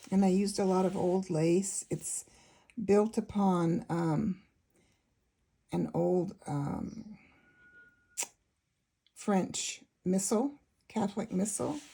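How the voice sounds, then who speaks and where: A woman mumbling at a very slow pace, somewhat breathy, with long, frequent pauses and ordinary pitch variation. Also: medium pitch for a woman. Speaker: junk journal maker. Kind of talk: casual talk to camera. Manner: mumbling a bit.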